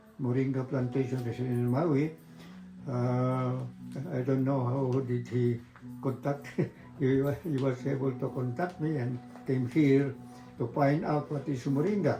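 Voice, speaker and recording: A man's medium-pitched voice, very slow with long, frequent pauses and fairly even intonation, over noticeable background noise. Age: 90s. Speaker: moringa farmer. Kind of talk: interview. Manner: halting.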